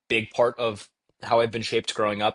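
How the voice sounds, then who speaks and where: A man talks at a medium pitch. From Texas. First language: Bengali. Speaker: debate champion and startup founder. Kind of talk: podcast interview. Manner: fast.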